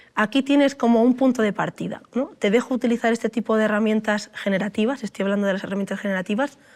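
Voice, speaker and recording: On a very clean recording with a silent background, a woman talks at a very fast pace in a fairly high pitch, with ordinary pitch variation. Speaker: computer science researcher, AI expert speaker. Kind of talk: talk with audience Q&A.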